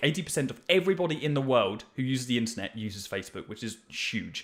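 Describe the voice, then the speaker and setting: In a British accent, a man delivers an energetic, bright, sharp tone at fairly high pitch. His pitch swings very widely. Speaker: marketing agency owner teaching ads. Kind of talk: tutorial. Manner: fast.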